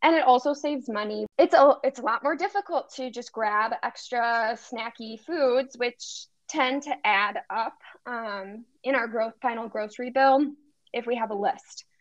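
Heard in a dry, close recording with no echo, the speaker talks fairly slowly in an Upper Midwest accent with ordinary pitch variation. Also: woman, high pitch for a woman. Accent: Upper Midwest American. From Wisconsin, near Milwaukee. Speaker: medical student and dietitian. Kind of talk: casual interview.

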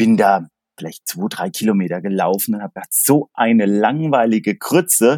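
An ordinary speaking voice with lively intonation moves at a fairly slow pace in a very clean recording with a silent background and a dry, close sound with no echo. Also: man. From Palatinate, Germany (near Pirmasens). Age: 50s. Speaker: sports goods sales agent. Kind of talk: casual chat.

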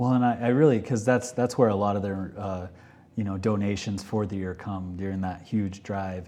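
A man with an American accent and a dark, mellow tone, fairly low in pitch, at a moderate pace with fairly even intonation and audible room echo. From Texas, small town. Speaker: real estate podcast host. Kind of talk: casual interview. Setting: studio with camera.

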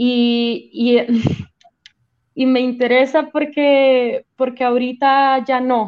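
A woman speaks at a high pitch with fairly even intonation. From Venezuela, Caracas. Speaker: poet and spoken word artist. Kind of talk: casual panel conversation.

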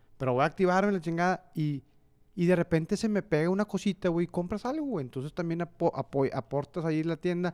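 Very fast speech from a high-pitched man with ordinary pitch variation, a very clean recording with a silent background, dry and close with no echo. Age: 30s. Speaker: podcast co-host. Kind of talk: casual chat. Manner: animated.

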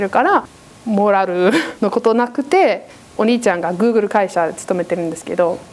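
A woman with an English accent speaks at a moderate pace, her intonation lively. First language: English (speaking Japanese). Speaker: preacher. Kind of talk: sermon.

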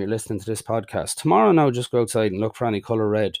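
A man speaks with an Irish accent in a very clean recording with a silent background. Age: 40s. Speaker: mental health podcaster. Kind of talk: personal monologue. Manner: halting.

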